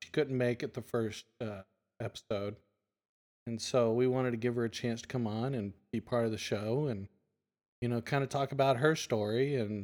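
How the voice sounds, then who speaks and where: A man with a medium pitch keeps fairly even intonation at a moderate pace in an ordinary speaking voice. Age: 50s. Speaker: podcast host. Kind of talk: casual chat.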